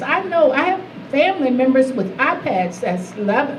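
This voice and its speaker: Against noticeable background noise and audible room echo, a woman with an American accent speaks at a fairly slow pace in a high pitch with very wide pitch swings. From US South. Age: 70s. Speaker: health advocacy leader, keynote speaker. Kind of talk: Q&A after keynote speech. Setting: lunch event with audience. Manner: halting.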